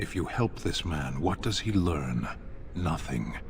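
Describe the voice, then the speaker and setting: A very deep, low-pitched put-on character voice from a man, at a fairly slow pace over clear background noise. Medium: video game. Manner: stern, blunt.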